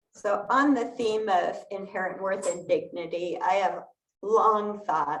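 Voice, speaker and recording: A woman speaks at a fairly slow pace in a medium-pitched voice, with audible echo in the room. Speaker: lay worship leader. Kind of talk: sermon. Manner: soft-spoken.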